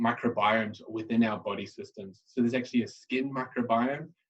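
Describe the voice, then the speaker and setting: A man with a medium pitch speaks in an Australian accent. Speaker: microbiology scientist. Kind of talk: presentation. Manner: halting.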